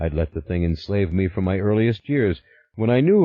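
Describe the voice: Lively intonation throughout plain reading aloud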